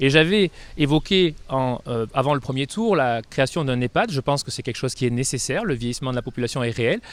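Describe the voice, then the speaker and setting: A man of medium pitch speaks at a fairly quick pace with ordinary pitch variation. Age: 30s. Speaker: doctor and mayoral candidate. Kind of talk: campaign interview. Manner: hesitant, many fillers.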